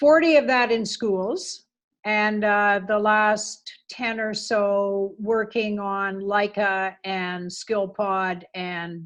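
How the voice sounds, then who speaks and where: A woman's fairly high voice comes through with a Canadian accent. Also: quiet background. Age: 70s. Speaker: retired school principal and educator. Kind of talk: interview.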